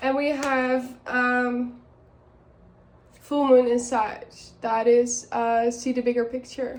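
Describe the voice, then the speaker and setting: A woman's high voice, very slow and monotone, with flat intonation and long, frequent pauses. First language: not English. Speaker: tarot and oracle card reader. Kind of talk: oracle card reading for viewers. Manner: halting, many fillers and restarts.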